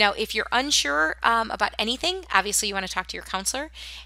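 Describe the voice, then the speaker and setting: A woman's fairly high, bright, sharp voice at a very fast pace. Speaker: school counselor or staff. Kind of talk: tutorial.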